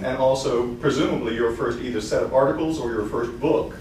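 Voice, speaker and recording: A man speaks with a Southern US accent, with audible room echo and light background noise. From US South. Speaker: university research administrator; lecturer. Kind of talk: lecture. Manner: fast. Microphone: camera far.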